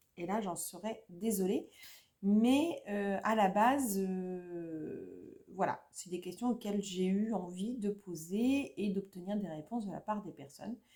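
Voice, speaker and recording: Her pitch is medium, with ordinary variation, as a woman speaks at a very slow pace. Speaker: YouTuber, adult colouring hobbyist. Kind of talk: casual vlog chat. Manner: speaking louder than usual; hesitant, many fillers. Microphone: viewers struggle to hear her, quiet sound.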